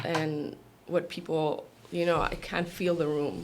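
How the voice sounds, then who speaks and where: A woman with a very deep, low pitch speaks very slowly with fairly even intonation. Audible room echo and noticeable background noise fill the recording. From Guatemala. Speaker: volleyball coach. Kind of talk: casual interview chat. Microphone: too far from the mic.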